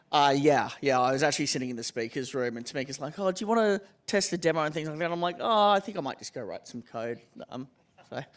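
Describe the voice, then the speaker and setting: With an Australian accent, a man talks at a very fast pace and a fairly high pitch. His intonation is lively, and his loudness swings widely. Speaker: tech company executive. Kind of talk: panel discussion. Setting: stage with audience.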